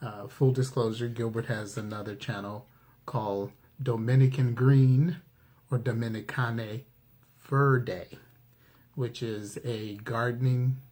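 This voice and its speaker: At a fairly slow pace, a man talks with a somewhat breathy, medium-pitched voice and ordinary pitch variation. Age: 60s. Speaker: cooking channel co-host. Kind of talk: casual chat.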